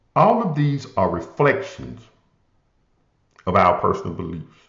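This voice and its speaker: A man with a Southern US accent speaks at a fairly slow pace in a medium-pitched voice with vocal fry. His pitch swings very widely, and there is audible room echo. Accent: southern drawl. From US South, Memphis, Tennessee. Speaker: motivational podcast host. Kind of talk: inspirational talk.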